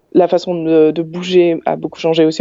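A woman's fairly low voice, monotone and flat, at a fairly quick pace. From Belgium, Ottignies-Louvain-la-Neuve area. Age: 30s. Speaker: transit company documentalist. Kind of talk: casual interview.

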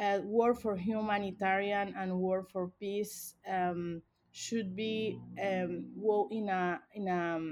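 Over a quiet background, a woman speaks in a Spanish accent at a very slow pace. Her pitch is medium and her intonation fairly even. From Venezuela. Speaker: human rights organization director. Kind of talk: interview. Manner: halting.

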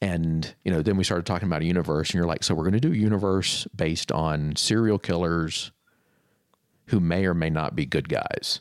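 Very deep and low-pitched, a man with an American accent talks at a fairly quick pace with fairly even intonation and very even loudness. The recording is very clean, with a silent background. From Florida. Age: 30s. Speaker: creative professional, former bookstore manager. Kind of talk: casual interview chat.

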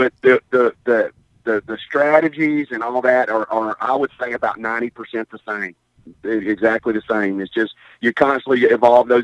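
A man speaks at medium pitch with fairly even intonation and big swings in loudness, the sound dry and close with no echo. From Mississippi. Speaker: college basketball head coach. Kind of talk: casual interview.

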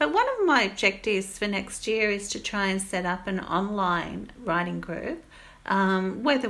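Moderate pace from a woman with an Australian accent. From Goulburn, New South Wales, Australia. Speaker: writer. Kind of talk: casual chat. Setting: remote recording.

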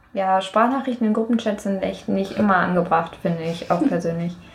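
Noticeable background noise and audible room echo fill the recording. A woman of medium pitch speaks at a moderate pace with ordinary pitch variation. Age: 20s. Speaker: university student. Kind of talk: casual chat.

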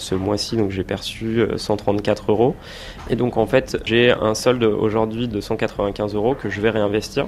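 Over noticeable background noise, a man speaks at a very slow pace in a monotone, flat intonation with fairly low pitch. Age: 30s. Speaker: small business owner and investor. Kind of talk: interview.

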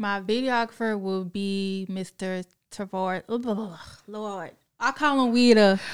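A woman speaks very slowly in an American accent, her pitch in the middle range. Her intonation stays fairly even. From Augusta, Georgia area (US South). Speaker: fitness influencer. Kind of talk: casual interview.

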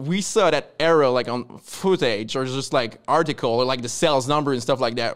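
A man with a French Canadian accent at a medium pitch, moderate pace and ordinary pitch variation, with hardly any pauses, on a very clean recording with a silent background. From Quebec. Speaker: comic book publisher. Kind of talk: casual interview.

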